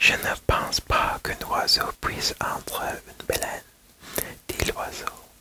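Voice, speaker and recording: The voice is a whisper at a very slow pace. Noticeable background noise is present. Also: woman. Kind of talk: bedtime-style story reading. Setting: ASMR video. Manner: whispered, soft.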